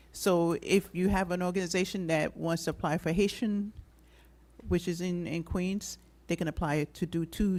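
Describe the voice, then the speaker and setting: This woman is soft-spoken. Her pitch sits fairly low. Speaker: city commission presenter. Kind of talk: presentation at public meeting. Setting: public meeting hall.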